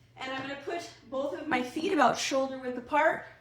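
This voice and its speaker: A woman with a high pitch speaks at a moderate pace, with audible room echo. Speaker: fitness coach. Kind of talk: workout instruction. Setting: live online class. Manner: breathy, effortful while exercising.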